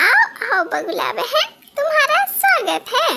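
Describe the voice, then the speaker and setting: A squeaky, cartoonish character voice that sounds female hits an extremely high pitch. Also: fairly slow pace. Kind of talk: children's cartoon story.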